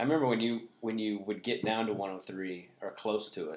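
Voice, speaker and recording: A man talks with an ordinary speaking voice, fairly low in pitch. His pace is fairly slow, with ordinary pitch variation. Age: 40s. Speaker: comedian. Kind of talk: casual chat. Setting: at home.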